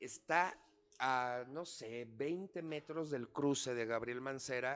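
This man's voice has a medium pitch and an animated tone. His pitch varies in an ordinary way. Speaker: podcast host, chef. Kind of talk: casual chat.

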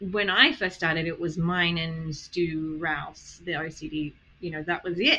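A woman speaks at a fairly slow pace in a bright, sharp tone, her fairly low pitch held to a fairly even intonation. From Australia. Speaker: therapist and podcast host. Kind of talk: interview conversation.

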